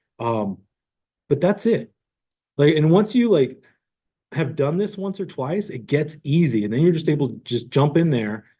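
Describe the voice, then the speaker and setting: A man with a fairly high pitch and very wide pitch swings speaks at a moderate pace, somewhat breathy, with a dark, mellow tone. He leaves long, frequent pauses. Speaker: real estate tech trainer. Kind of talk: tutorial. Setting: online class recording.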